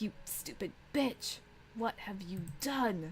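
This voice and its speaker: A very slow, croaky, put-on character voice, female-sounding and medium in pitch for a woman. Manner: shrieking, furious.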